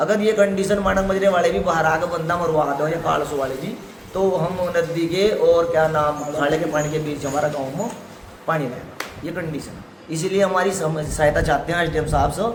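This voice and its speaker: Room echo is audible and background noise is noticeable, while the pitch varies in an ordinary way. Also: man, high pitch for a man. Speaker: villager. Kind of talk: interview testimony.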